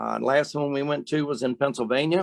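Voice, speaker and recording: This man has an ordinary speaking voice with a fairly high pitch. He talks at a moderate pace, with a dry, close sound with no echo. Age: 60s. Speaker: softball strength and speed trainer. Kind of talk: webcast panel discussion. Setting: webcast.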